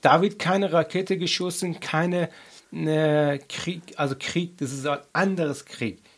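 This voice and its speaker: A man speaks in a high-pitched voice. His pace is fairly slow. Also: fairly even intonation, very clean recording, silent background. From Afghanistan. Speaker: activist. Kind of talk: interview. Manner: halting, many fillers.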